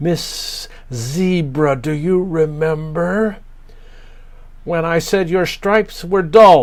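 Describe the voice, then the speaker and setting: Using a put-on character voice at a high pitch, a man speaks at a very slow pace with long, frequent pauses. Hissing and light background noise run underneath. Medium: read story.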